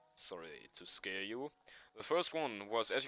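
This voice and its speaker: With music in the background, a man speaks at a fairly slow pace using lively intonation. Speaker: streamer coding a game mod. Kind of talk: livestream commentary. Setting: live stream. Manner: halting; loud.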